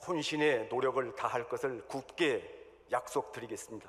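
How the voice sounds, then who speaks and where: With lively intonation, a man speaks at a moderate pace in an unremarkable speaking voice. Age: 60s. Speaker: church elder, candidate for denominational office. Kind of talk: election campaign speech. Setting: church hall assembly. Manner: formal.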